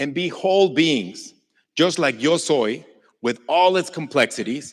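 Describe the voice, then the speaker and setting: On a very clean recording with a silent background, a man speaks with a Mexican accent. He goes at a fairly slow pace with lively intonation. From Mexico. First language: Spanish. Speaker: Mexican folk musician. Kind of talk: inspirational stage talk.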